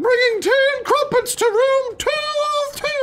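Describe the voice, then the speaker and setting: In a squeaky, put-on character voice with an extremely high pitch, someone speaks at a fairly slow pace over clear background noise. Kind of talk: gameplay commentary, playing a character. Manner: pretend, affected.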